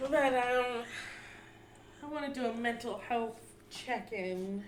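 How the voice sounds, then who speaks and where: A soft-spoken woman with a high pitch speaks at a very slow pace, her intonation fairly even. Room echo is audible. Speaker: podcast co-host. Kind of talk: casual chat; personal testimony. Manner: quiet.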